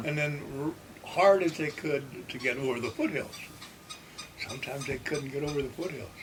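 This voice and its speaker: Through noticeable background noise, a man with a fairly high pitch speaks with fairly even intonation and long, frequent pauses. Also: moderate pace. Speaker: World War II navy veteran. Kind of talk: interview answer.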